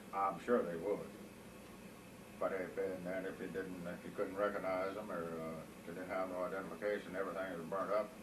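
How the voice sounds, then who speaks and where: Very deep, low male voice with a Southern US accent, fairly quick, flat and monotone, over noticeable background noise. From Mississippi. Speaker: war veteran. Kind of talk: interview answer.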